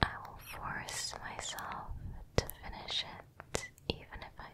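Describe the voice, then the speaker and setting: A woman's breathy whisper at a very slow pace amid loud background noise. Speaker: ASMR creator. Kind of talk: soft-spoken ASMR book chat. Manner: breathy close-mic ASMR whisper. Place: home room. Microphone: studio mic.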